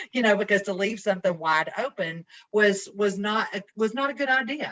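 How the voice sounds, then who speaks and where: A woman with a medium pitch and ordinary pitch variation talks at a moderate pace. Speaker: environmental lab compliance regulator. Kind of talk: committee meeting discussion. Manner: halting, repetitive.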